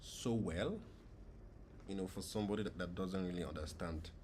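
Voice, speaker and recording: With audible room echo, a man speaks at a moderate pace in a fairly low, somewhat breathy voice. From Nigeria. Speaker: gaming streamer. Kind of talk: live gameplay stream chat. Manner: casual, conversational.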